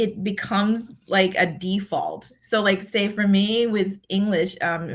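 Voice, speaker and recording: A woman's somewhat breathy voice with a Thai accent, at a fairly slow pace with hardly any pauses. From Thailand. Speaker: decision scientist and leadership speaker. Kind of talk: podcast interview. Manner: halting, many fillers and repeats.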